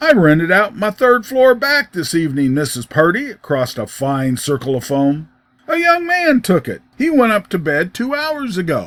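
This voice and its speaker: Using a put-on character voice, a man sounds husky and high-pitched, moving at a moderate pace with very wide pitch swings. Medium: read story. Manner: prim, businesslike.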